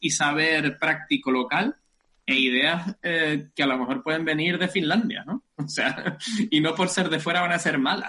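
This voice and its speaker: A man's fairly high voice in a Canarian accent, lively in intonation and moderate in pace. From Canary Islands, rural north of Tenerife. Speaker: rural development researcher. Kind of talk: interview. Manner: halting, many fillers.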